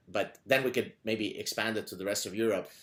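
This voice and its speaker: With an Arabic accent, a man talks at a fairly quick pace and a medium pitch. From Lebanon. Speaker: podcast host and professor. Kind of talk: interview conversation. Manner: animated.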